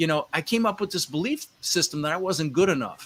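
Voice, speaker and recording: A man with an American accent speaks in an animated, bright and sharp tone. His pitch varies in an ordinary way. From Netherlands. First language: Dutch. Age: 60s. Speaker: real estate investor. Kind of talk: podcast interview.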